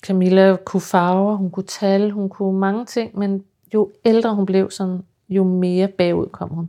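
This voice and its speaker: A woman speaks in a dark, mellow tone at medium pitch, monotone and flat, at a fairly slow pace. The recording is very clean with a silent background. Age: 50s. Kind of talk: interview.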